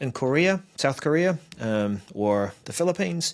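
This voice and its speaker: Recorded very cleanly against a silent background, a man speaks with a New Zealand accent. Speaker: tech show co-host. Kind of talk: casual chat.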